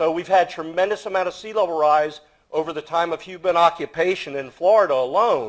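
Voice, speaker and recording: Fairly quick in pace, a man speaks at a high pitch with fairly even intonation. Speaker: archaeologist. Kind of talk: panel talk. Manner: loud.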